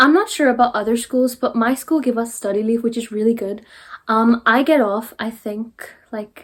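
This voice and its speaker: A woman with a Derry accent speaks in a high pitch. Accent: Northern Irish, Derry. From Northern Ireland. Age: young. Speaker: sixth-form student. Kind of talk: casual talk to camera.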